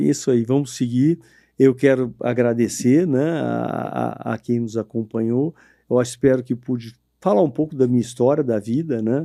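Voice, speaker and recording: Over a quiet background, a man speaks at a moderate pace and medium pitch. His tone is dark and mellow, with ordinary pitch variation. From São Paulo state interior, Brazil. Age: 60s. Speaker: cattle rancher. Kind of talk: interview podcast.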